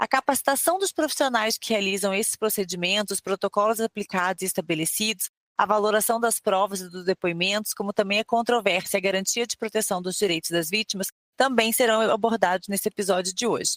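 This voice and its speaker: A woman with a Rio de Janeiro accent talks at a fairly quick pace with hardly any pauses, the sound dry and close with no echo. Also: medium pitch for a woman, ordinary pitch variation. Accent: Rio de Janeiro (fluminense). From Rio de Janeiro state, Brazil. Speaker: podcast host. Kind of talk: scripted introduction; interview.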